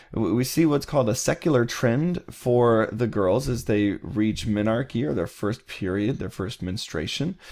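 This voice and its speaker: This man has an ordinary speaking voice at a medium pitch, with lively intonation. He speaks at a fairly slow pace with hardly any pauses. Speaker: college psychology instructor. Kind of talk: recorded lecture. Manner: casual, with many fillers.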